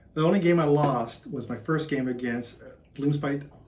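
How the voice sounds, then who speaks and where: Somewhat breathy, a man speaks at a moderate pace in a fairly high voice. There is audible room echo. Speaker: tabletop wargamer. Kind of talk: post-game casual chat. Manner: monotone; deadpan.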